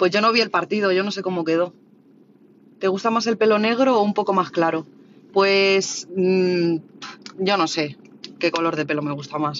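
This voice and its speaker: Speech at a moderate pace in a Madrid accent. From Spain, Madrid (Orcasur, south Madrid). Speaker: livestreamer. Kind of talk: casual livestream chat reading viewer comments.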